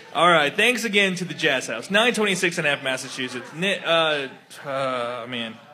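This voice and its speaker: A man's fairly high voice with lively intonation at a fairly slow pace, music in the background. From Texas. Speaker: kickball podcast host. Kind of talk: casual chat. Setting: live in a bar with audience.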